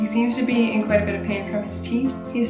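With clear music playing in the background, a woman talks at a very fast pace. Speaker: parent vlogger. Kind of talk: casual vlog chat. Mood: cheerful, laughing often. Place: home room. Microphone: phone near.

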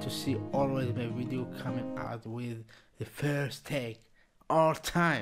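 Music plays in the background as a man talks. He speaks very slowly with fairly even intonation. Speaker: reaction channel host. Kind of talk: casual vlog chat. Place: home room. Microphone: webcam.

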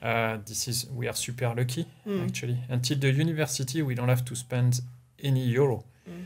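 A man talks fairly quickly in a somewhat breathy voice with ordinary pitch variation. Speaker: interview guest. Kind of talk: interview answer. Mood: relaxed, smiling. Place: home room. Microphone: studio mic.

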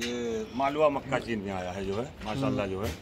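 A man with a medium-pitched voice talks at a fairly quick pace, his pitch rising and falling in an ordinary way.

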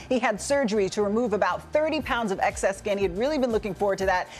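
Light background noise sits behind a woman talking very fast with ordinary pitch variation. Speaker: TV presenter. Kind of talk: news segment presenting. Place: studio.

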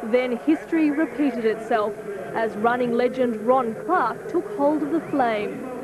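A woman with an Australian accent, high pitch, ordinary pitch variation and a fairly slow pace, over noticeable background noise. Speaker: TV news reporter. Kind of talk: packaged news report narration. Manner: polished, evocative voiceover with ceremonial tone.

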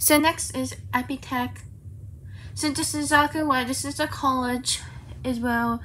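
A woman at a fairly slow pace, with light background noise. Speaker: vlogger. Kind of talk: casual vlog chat. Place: home room. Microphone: phone near.

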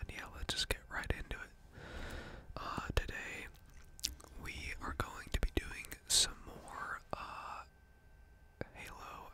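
The speaker whispers at a very slow pace. Long pauses come often. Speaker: gamer. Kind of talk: ASMR gaming commentary. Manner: whispered. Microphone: studio mic.

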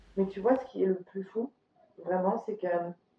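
This woman's voice rises and falls in an ordinary manner. An audible echo from the room hangs on her words. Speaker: vlogger, actress. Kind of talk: casual vlog chat. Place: home room.

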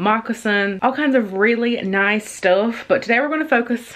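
A woman speaks at a moderate pace. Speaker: lifestyle vlogger. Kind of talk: sponsored vlog chat. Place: kitchen. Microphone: phone near.

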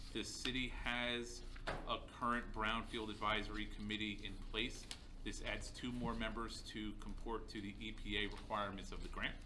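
A man speaks at a moderate pace. Noticeable background noise is present. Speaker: city manager. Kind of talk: council meeting report. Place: meeting room. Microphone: podium.

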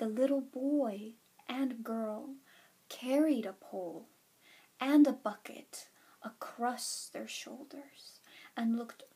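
Soft-spoken and somewhat breathy, a woman talks very slowly in a calm, soothing tone. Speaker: ASMR storyteller. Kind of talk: bedtime story reading. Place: home room. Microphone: webcam.

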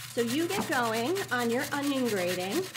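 A woman speaks at a fairly slow pace. Noticeable background noise is present. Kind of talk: tutorial. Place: kitchen. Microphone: lapel.

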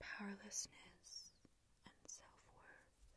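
A soft-spoken woman whispers breathily, the sound dry with no echo and light noise in the background. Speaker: ASMR creator. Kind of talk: soft-spoken ASMR talk. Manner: soft breathy ASMR whisper.

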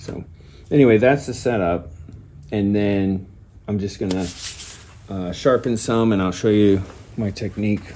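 Long, frequent pauses break up speech at a moderate pace, with light background noise. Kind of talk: tutorial. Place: workshop. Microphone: phone near.

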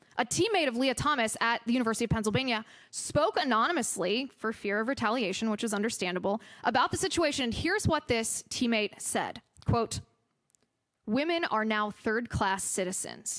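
A woman's lively, fairly quick voice at very even loudness over a quiet background. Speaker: conservative political commentator and podcast host. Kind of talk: public lecture followed by audience Q&A. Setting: stage with audience at a university. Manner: impassioned, rhetorical. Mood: ironic, pointed. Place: hall. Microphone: podium.

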